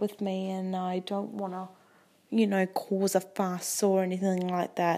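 With an Australian accent, a woman speaks in a dark, mellow tone at medium pitch. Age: 20s. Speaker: podcast host. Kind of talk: casual monologue.

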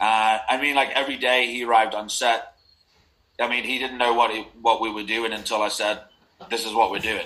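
At a fairly quick pace, a man talks in a monotone, flat intonation at a medium pitch. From Liverpool, England. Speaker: film director. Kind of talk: casual interview.

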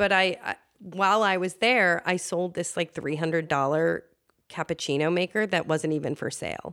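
In a very clean recording with a silent background and a dry, close sound with no echo, a woman with an ordinary speaking voice speaks fairly slowly at a fairly low pitch, her intonation fairly even. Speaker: producer and communications director. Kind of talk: casual interview chat. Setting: in person at a home.

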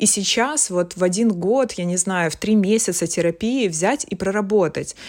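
A woman speaks in a normal speaking voice at a medium pitch and a fairly slow pace, with ordinary pitch variation. The recording is very clean, with a silent background. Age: 30s. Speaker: art director. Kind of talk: casual chat.

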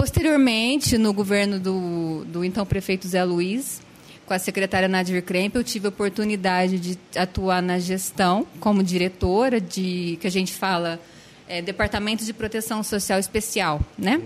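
A woman in an ordinary speaking voice at a fairly slow pace with ordinary pitch variation. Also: medium pitch for a woman. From Franca, São Paulo state, Brazil. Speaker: social worker. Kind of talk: casual interview.

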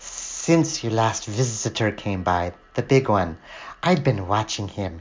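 A man puts on a character voice with a fairly low pitch and a hissing sound. He speaks at a fairly slow pace.

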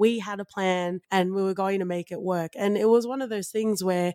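A woman with an Australian accent and medium pitch speaks at a moderate pace with ordinary pitch variation. The sound is dry and close with no echo, a very clean recording with a silent background. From Australia, Western Sydney. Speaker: podcast co-host. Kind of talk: casual chat.

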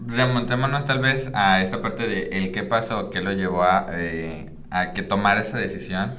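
There is audible room echo and noticeable background noise. A man with a fairly low pitch speaks with ordinary pitch variation. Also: fairly slow pace. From Mexico, Michoacán. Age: 20s. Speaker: psychologist. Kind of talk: casual chat interview.

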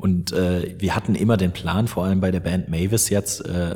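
A man's very deep, low voice at a moderate pace, monotone and flat, with noticeable background noise. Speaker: metalcore vocalist and voice-over artist. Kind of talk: casual interview. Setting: large empty side room at concert venue. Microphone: room echo and open window audible.

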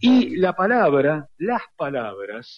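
Pitching his voice fairly high, a man talks with very wide swings in pitch. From Argentina, Buenos Aires. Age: 60s. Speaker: radio historian and lecturer. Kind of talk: interview.

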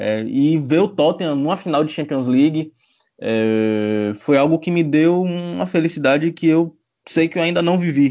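This man has a fairly high pitch, lively intonation and an unremarkable speaking voice, and he talks at a fairly slow pace. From Bahia, Brazil. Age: 20s. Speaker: sports journalist. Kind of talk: casual chat.

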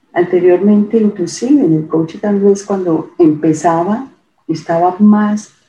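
Her voice is somewhat breathy, with a dark, mellow tone. The woman speaks at a medium pitch and a very slow pace. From Colombia. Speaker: ontological coach. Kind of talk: interview conversation.

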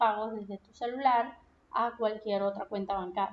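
A woman speaks with a Venezuelan accent. Her pitch varies in an ordinary way. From Venezuela, Punto Fijo (Falcón coast). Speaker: podcast host. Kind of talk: solo podcast monologue. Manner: casual, conversational.

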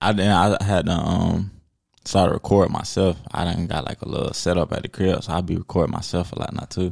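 A man talks low-pitched and fairly quick, yet drawling, with a raspy sound and vocal fry. His tone is slightly mellow and his intonation fairly even.

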